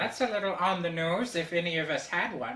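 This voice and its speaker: In a put-on character voice, a female-sounding speaker talks at a fairly quick pace with a fairly low pitch. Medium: audio drama. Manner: precise, formal.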